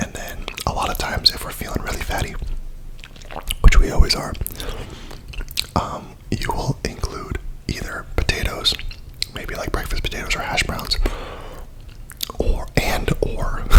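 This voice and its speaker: Whispering at a moderate pace, with long, frequent pauses and noticeable background noise. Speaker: ASMR content creator. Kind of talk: ASMR mukbang, casual talk to camera. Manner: casual, chatty, with filler words.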